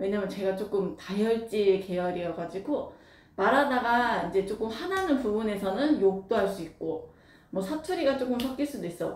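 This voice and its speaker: Amid noticeable background noise and audible room echo, a woman with a slight Jeolla accent speaks at a moderate pace, her fairly high pitch carrying lively intonation. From Jeolla, South Korea. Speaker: craft workshop owner. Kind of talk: casual Q&A talk. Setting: recorded wearing a face mask. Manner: unscripted, hesitant with fillers.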